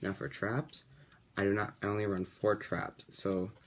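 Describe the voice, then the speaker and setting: Mumbling, a man speaks at a fairly low pitch with ordinary pitch variation. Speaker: card game video creator. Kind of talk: deck profile tutorial. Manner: may mumble a little.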